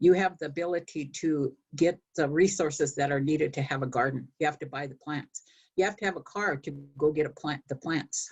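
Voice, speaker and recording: Speaking at a fairly quick pace, a woman with a very deep, low pitch sounds somewhat breathy and uses ordinary pitch variation. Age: 70s. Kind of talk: panel discussion remarks.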